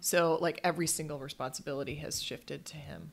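A woman speaks at a moderate pace in a very deep, low pitch with vocal fry and fairly even intonation. The recording is very clean, with a silent background. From Michigan. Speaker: congressional candidate. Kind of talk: interview.

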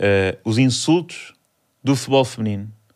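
A man speaks at a fairly quick pace in an ordinary speaking voice, in a very clean recording with a silent background. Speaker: comedian podcast host. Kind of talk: casual chat.

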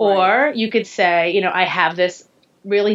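A woman in a normal speaking voice at a moderate pace, with a quiet background. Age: 40s. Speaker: sales coach. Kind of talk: interview.

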